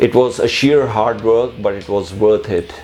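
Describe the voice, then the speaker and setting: A Pakistani accent with music in the background. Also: man. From Pakistan, Karachi. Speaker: musician. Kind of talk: personal interview monologue. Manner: halting, with repetitions and fillers.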